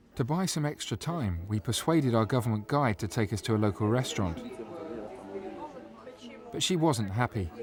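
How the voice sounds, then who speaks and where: With noticeable background noise, a man of medium pitch speaks at a moderate pace with lively intonation and long, frequent pauses. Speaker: travel documentary presenter. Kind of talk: documentary voice-over narration.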